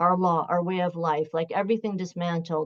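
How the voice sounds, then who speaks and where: A woman at medium pitch with a Canadian accent and ordinary pitch variation. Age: 60s. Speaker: professor. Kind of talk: panel discussion. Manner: casual, halting with repetitions.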